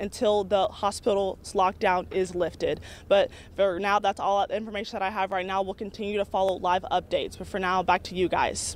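A woman's fairly quick, flat monotone, dry with no echo, over light background noise. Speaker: field news reporter. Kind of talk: live news report. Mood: urgent, serious. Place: street. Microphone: handheld.

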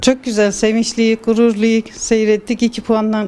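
A woman with a fairly high pitch, at a moderate pace. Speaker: athlete's family member. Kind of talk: interview answer. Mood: proud, happy. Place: home room. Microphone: handheld.

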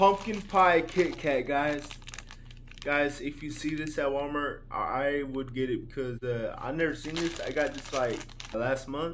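A man talks at a fairly slow pace with ordinary pitch variation. Light background noise can be heard. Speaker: haul vlogger. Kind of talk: casual vlog chat. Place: home room. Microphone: phone near.

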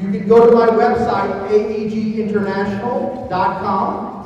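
A man talks with a high pitch and flat, monotone intonation. There is strong room echo and light background noise. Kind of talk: announcement to audience. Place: stage.

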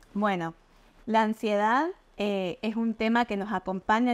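A woman speaks at a fairly slow pace with a fairly high pitch. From Argentina, Mendoza/San Juan; Argentina. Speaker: nutritionist; guest. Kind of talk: interview, explanatory. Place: home room.

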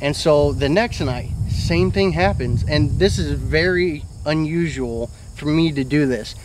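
A man talks at a fairly slow pace. The sound is dry with no echo, though noticeable background noise comes through. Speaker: storyteller. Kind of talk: casual storytelling to camera. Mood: earnest, mildly spooked recounting. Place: garden.

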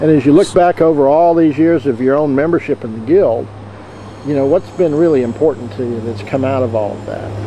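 Over noticeable background noise, a man talks at a fairly quick pace. His pitch is fairly high, with ordinary pitch variation. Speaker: interviewer, knot guild member. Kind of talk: interview questions.

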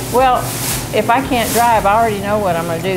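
A woman speaks with clear music in the background. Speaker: senior center cook. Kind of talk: interview answer. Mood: cheerful, upbeat. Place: kitchen.

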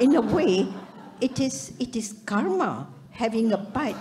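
Talking by a woman, with noticeable background noise. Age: 80s+. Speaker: retired surgeon, audience member; audience member. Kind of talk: audience comment at a summit. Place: hall. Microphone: handheld.

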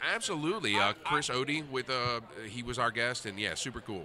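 Over light background noise, a man speaks at a fairly quick pace with lively intonation and a bright, sharp tone in a dry sound with no echo. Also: medium pitch for a man. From New Orleans. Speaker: radio show host. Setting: convention floor. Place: hall.

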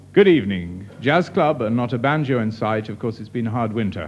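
A man talks at a fairly quick pace with lively intonation. Music plays in the background. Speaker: radio show host. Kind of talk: radio announcement. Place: studio. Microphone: old recording.

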